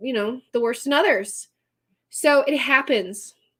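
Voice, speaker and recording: A woman with an American accent speaks at a fairly slow pace. The recording is very clean, with a silent background. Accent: Texan accent, comes out from time to time. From Texas. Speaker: astrologer and tarot reader. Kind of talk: live stream astrology reading. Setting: live stream. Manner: casual, chatty.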